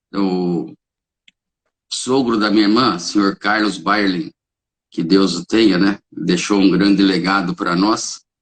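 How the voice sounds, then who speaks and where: Long, frequent pauses break up this man's very slow speech. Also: ordinary pitch variation. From São Paulo state, Brazil (Caieiras). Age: 60s. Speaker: holistic therapist and reiki practitioner. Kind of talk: interview. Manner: hesitant, with frequent fillers.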